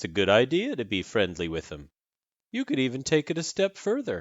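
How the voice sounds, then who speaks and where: A man drawls in a put-on character voice. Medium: read story. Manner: nonchalant, drawling.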